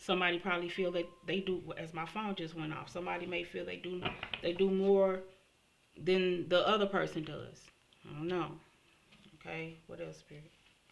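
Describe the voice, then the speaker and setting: Audible room echo surrounds a woman whose fairly low-pitched voice stays monotone and flat, swinging widely in loudness between long, frequent pauses. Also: moderate pace. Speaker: tarot reader. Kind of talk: tarot reading monologue.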